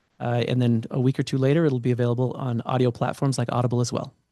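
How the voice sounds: In a Utah accent, a dark, mellow voice rushes at a very fast pace with monotone, flat intonation against a quiet background. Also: man, medium pitch for a man. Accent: small-town Utah.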